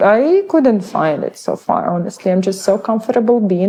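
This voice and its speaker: A woman with a Ukrainian accent. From Ukraine. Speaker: realtor and interviewer. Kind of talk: casual interview. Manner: halting.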